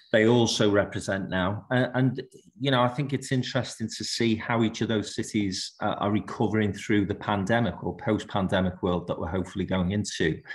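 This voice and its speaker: A man with a Liverpool accent speaks at a fairly quick pace in a fairly low pitch, his intonation fairly even. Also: hardly any pauses. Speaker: business leader, conference panellist. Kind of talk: panel discussion.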